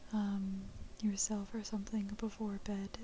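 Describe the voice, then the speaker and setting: A soft-spoken voice against noticeable background noise. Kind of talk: casual talk to camera introducing the video.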